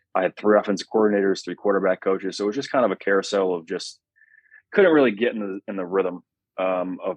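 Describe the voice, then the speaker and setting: A plain, everyday voice from a man with an American accent, fairly low in pitch with fairly even intonation. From Connecticut, US. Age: 20s. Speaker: pro football quarterback. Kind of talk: podcast interview.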